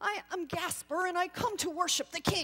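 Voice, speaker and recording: Using a put-on character voice, a woman speaks in an extremely high pitch at a moderate pace with fairly even intonation. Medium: read story.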